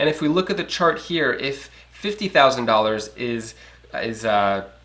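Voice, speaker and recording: The voice moves through very wide pitch swings while noticeable background noise sits behind it. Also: man, medium pitch for a man. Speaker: finance news youtuber. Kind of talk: casual news commentary. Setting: home. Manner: fast.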